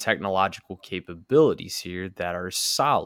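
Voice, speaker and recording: The recording of this man's voice is very clean, with a silent background. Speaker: podcast host. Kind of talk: casual chat. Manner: loud; animated.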